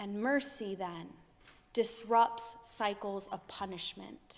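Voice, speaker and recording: A woman speaks fairly slowly in a normal speaking voice, with ordinary pitch variation. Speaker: pastor. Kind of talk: sermon delivered to a congregation.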